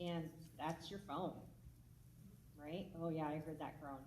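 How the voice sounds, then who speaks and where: In an American accent, a woman speaks somewhat breathily at a moderate pace, with audible room echo. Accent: Minnesotan twang, stronger when anxious. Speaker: mental health clinician. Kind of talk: public talk. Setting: stage with audience. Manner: casual, conversational.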